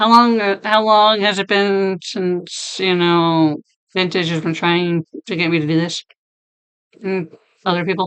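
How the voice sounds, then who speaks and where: A fairly slow pace marked by long, frequent pauses. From US Northeast, Rhode Island. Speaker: craft live streamer. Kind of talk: casual live stream chat, reading viewer comments. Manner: animated.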